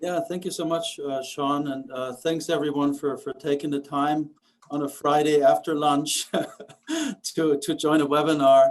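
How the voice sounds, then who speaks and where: Fairly high for a man, this voice holds a monotone, flat intonation. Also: moderate pace. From Germany. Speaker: automation engineer, business owner. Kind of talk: webinar presentation. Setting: online webinar.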